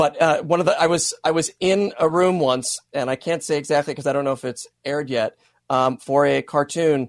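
A man speaks in a plain, everyday voice. His pitch is fairly high, with fairly even intonation. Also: fairly quick pace. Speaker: voice actor. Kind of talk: radio interview, casual chat. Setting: video call from home office.

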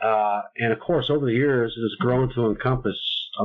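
This is a man with a medium pitch and a normal speaking voice. He talks at a moderate pace with fairly even intonation. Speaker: podcast host. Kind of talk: casual chat.

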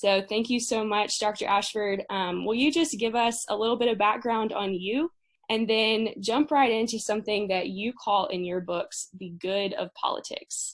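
A woman's unremarkable speaking voice, fairly high in pitch, at a moderate pace with hardly any pauses. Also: ordinary pitch variation. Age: 20s. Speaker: podcast host, college student. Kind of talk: interview.

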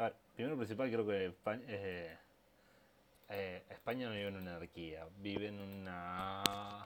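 This man talks at a fairly slow pace, his fairly low pitch carried by fairly even intonation. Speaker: podcast co-host. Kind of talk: casual chat. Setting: home recording.

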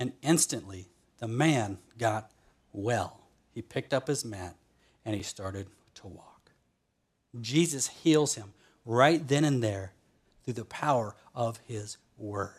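Very slow speech from a man at a medium pitch, somewhat breathy, with ordinary pitch variation, big swings in loudness and long, frequent pauses. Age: 30s. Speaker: pastor. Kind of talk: sermon. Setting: online church service.

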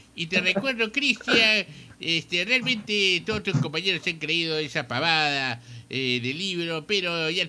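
A man with a fairly high voice speaks at a fairly slow pace. His tone is bright and sharp, and his intonation is lively. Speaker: radio host. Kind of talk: casual chat.

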